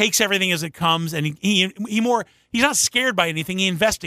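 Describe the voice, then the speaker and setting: A man's raised, projected voice in an American accent, high-pitched and bright and sharp in tone, at a very fast pace with ordinary pitch variation. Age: 50s. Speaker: radio morning show host. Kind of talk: casual chat.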